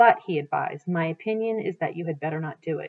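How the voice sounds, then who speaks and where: The delivery moves at a fairly quick pace. It is an ordinary speaking voice. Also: woman. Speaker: teacher reading aloud. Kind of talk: read-aloud narration. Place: home room. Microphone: webcam.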